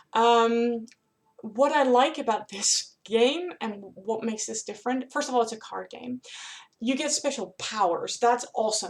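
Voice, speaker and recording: A woman with a Dutch accent speaks at a fairly high pitch and a fairly slow pace. Her tone is enthusiastic, with ordinary pitch variation. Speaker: author and board game vlogger. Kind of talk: casual vlog review. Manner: hesitant, many fillers.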